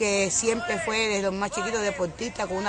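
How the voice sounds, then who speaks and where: Audible room echo and crowd noise fill the background. A woman speaks at a medium pitch. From Cuba. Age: 60s. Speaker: widowed mother giving testimony. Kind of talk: testimony. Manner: halting, with frequent fillers.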